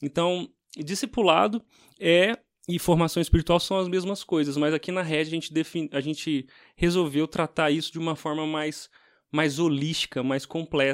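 At a moderate pace, a man talks with a fairly high pitch and ordinary pitch variation, in a dry, close sound with no echo and a very clean recording with a silent background. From Brazil, Minas Gerais. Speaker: pastor. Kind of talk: casual chat.

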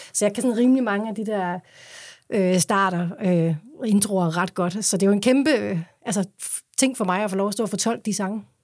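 A woman speaks at medium pitch and a moderate pace with ordinary pitch variation. It is a plain, everyday voice on a very clean recording with a silent background. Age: 40s. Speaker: singer. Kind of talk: interview.

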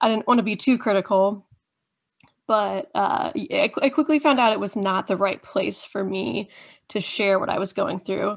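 A woman speaks with lively intonation and some vocal fry. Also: medium pitch for a woman, moderate pace. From Indiana, US Midwest. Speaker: content creator on deconstruction. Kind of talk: casual interview chat.

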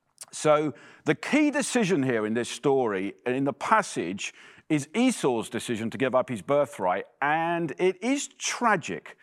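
Over a very clean recording with a silent background, a man speaks at a fairly slow pace. His fairly high pitch swings very widely. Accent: English. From England. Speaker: preacher. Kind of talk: sermon. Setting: church.

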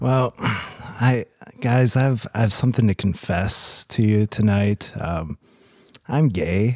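A man talks at a very slow pace. His pitch is fairly low. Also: ordinary pitch variation. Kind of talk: casual conversation, personal storytelling.

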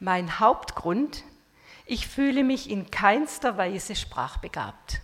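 Speaking at a very slow pace, a woman with a fairly high pitch uses lively intonation. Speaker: retired missionary. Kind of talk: talk. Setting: stage with audience.

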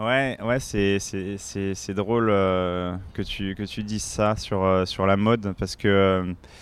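A man speaks with a fairly low pitch. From Paris suburbs, Seine-Saint-Denis (La Courneuve). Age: 30s. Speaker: former pro cyclist, adventurer. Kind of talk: casual interview. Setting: café. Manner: halting, many repetitions.

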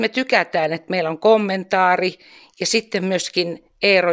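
With a plain, everyday voice, a woman speaks at a fairly slow pace and ordinary pitch variation. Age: 60s. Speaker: retired nurse, church volunteer. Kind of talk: interview.

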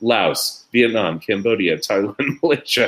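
A man with a plain, everyday voice, medium in pitch, at a fairly slow pace. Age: 50s. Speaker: scientist discussing disease and population genetics. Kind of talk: interview conversation.

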